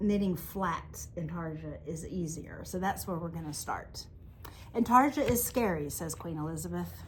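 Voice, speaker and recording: A woman with a Southern US accent at a moderate pace, with audible room echo. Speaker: yarn shop owner and podcast co-host. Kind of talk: casual chat. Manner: animated.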